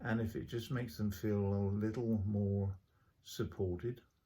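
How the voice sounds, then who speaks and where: Somewhat breathy and dark, mellow in tone, a man with an English accent speaks at a fairly slow pace, fairly low in pitch with fairly even intonation. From England. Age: 60s. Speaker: vlogger. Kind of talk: personal video diary monologue. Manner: hesitant, many filler sounds.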